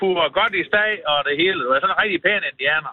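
A man speaks with a lively, bouncing intonation. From North Jutland. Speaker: local resident. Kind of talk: casual chat.

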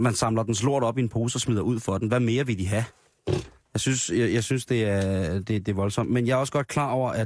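In an unremarkable speaking voice, a man talks at a medium pitch and moderate pace with ordinary pitch variation. The recording is very clean, the background silent. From Denmark, Grenå area. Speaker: radio host. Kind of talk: casual chat.

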